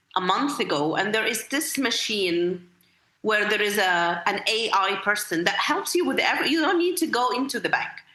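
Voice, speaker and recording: In an Arabic accent, a woman speaks with very wide pitch swings amid audible room echo. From Egypt. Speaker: school literacy director and accreditation expert. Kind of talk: podcast interview. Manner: repetitive, hesitant with many fillers.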